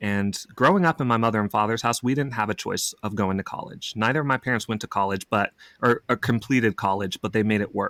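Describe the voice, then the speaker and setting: A man's very fast, medium-pitched delivery with an American accent, ordinary pitch variation, hardly any pauses and a dry, close sound with no echo. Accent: slight Southern, trained out. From Oklahoma, US South. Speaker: actor. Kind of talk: casual chat.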